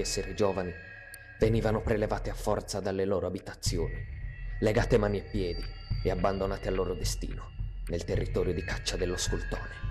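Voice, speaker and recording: Very fast male speech runs over background music. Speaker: narrator. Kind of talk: legend narration. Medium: read story.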